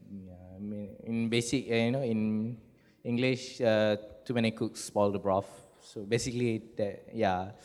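A man speaks at a medium pitch and a fairly slow pace. His intonation is flat and monotone. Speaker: poet. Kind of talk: panel discussion. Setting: stage with audience. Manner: halting.

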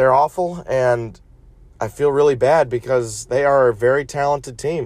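The delivery is fairly slow and somewhat breathy. Pitch varies in an ordinary way. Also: man. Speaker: sports podcast host. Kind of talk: casual sports commentary monologue. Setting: in a car.

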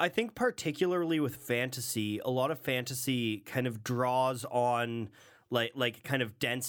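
An ordinary speaking voice from a man, medium in pitch, at a moderate pace, on a very clean recording with a silent background. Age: 20s. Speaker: podcast co-host. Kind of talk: casual chat.

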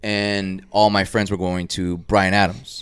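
With an American accent, a man talks at a moderate pace in a monotone, flat intonation on a very clean recording with a silent background. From Dallas, Texas. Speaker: artist. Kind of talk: casual chat. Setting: at home studio. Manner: loud; mumbling.

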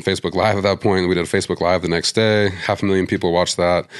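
Speaking with a western US accent, a man goes at a very fast pace. His intonation is monotone and flat. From Montana, US (Missoula). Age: 40s. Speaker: conservation group leader. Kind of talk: interview. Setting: in person, face-to-face.

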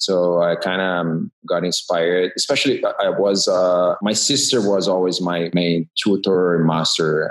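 A man speaking at a fairly slow pace with very even loudness and hardly any pauses. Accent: Portuguese. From Brazil, Rio de Janeiro. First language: Portuguese. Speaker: graphic designer and typographer. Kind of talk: interview. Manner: halting.

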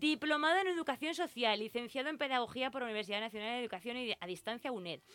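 At a very fast pace, a woman with a high pitch speaks in a bright, sharp tone. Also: hardly any pauses. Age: 40s. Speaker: radio host. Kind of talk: casual radio chat. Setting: studio.

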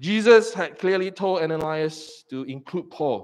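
This man's delivery is rather unhurried. His voice rises and falls in a lively way. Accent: Singaporean. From Singapore. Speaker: pastor. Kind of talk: sermon.

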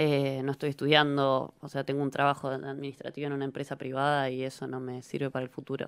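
On a very clean recording with a silent background, a woman with a very deep, low pitch talks at a very fast pace in monotone, flat intonation. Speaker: professional footballer. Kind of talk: interview.

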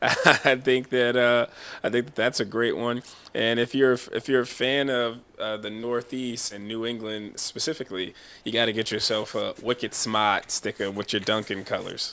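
Bright and sharp in tone, a man speaks at a moderate pace in a medium pitch with fairly even intonation. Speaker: podcast host and interviewer. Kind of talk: casual interview. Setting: studio.

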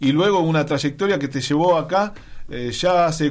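An ordinary speaking voice at a moderate pace. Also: man. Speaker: radio host. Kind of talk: casual chat.

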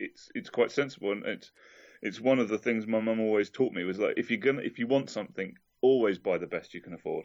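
Speaking very fast with an English accent, a man keeps a medium pitch with ordinary variation. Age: 40s. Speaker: podcast guest. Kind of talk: casual chat.

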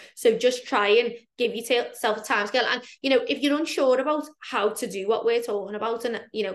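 A woman with an ordinary speaking voice, fairly high pitch and fairly quick pace. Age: 30s. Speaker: fitness coach. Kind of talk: casual chat.

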